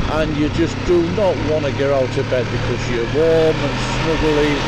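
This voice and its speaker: A fairly slow pace in a dry sound with no echo, under loud background noise. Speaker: motorbike commuter vlogger. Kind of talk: casual vlog chat. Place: motorbike. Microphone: helmet.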